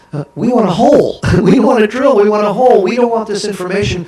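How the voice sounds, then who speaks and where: A man speaks over noticeable background noise. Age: 60s. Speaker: author and keynote speaker. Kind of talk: talk show interview.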